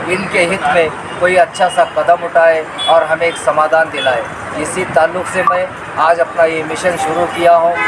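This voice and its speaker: Noticeable background noise sits behind a man's voice. He speaks high and in a monotone, flat way. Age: 60s. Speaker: rickshaw driver on a cycling journey. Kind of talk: news interview.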